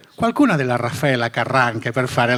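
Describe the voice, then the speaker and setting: A man is speaking. Noticeable background noise is present. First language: Catalan/Spanish (speaking Italian). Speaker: museum director. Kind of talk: conference talk.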